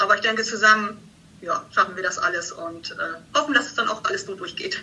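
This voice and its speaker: A woman at a fairly quick pace. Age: 50s. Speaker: bank customer service employee. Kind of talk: casual interview. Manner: halting.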